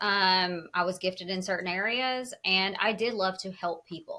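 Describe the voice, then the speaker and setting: Bright and sharp in tone, a woman with a Southern US accent speaks at medium pitch and a moderate pace. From US South. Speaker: wellness advocate. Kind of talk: podcast interview.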